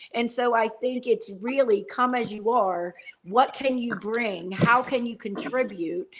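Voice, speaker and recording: A woman uses an ordinary speaking voice at a fairly high pitch. She talks at a fairly slow pace with ordinary pitch variation. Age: 40s. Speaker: wellness company owner. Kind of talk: casual chat.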